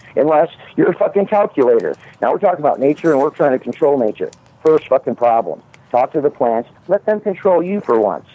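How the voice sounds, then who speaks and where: Man with an American accent and an unremarkable speaking voice, fairly high in pitch, lively in intonation, fairly quick, with very even loudness. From US Midwest (Omaha area). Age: 50s. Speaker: caller, cannabis grower. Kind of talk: casual chat.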